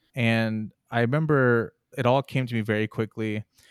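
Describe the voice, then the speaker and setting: This man has a plain, everyday voice with ordinary pitch variation, recorded with a dry, close sound with no echo. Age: 20s. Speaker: podcast host. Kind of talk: casual chat. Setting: video call.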